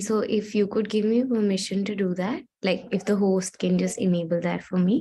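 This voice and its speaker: Moderate pace over music in the background. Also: woman. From India. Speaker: gender rights advocate and speaker. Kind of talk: talk.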